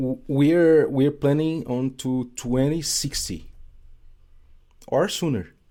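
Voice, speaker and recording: A fairly high-pitched man with a Brazilian Portuguese accent and a dark, mellow tone, speaking at a very slow pace with long, frequent pauses and ordinary pitch variation. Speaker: game designer. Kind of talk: casual chat. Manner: halting.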